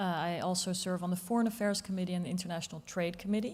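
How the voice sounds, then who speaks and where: Speaking with a Dutch accent, a woman moves at a very fast pace. Her tone is dark and mellow, her pitch medium, her intonation fairly even. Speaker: politician. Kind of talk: panel discussion.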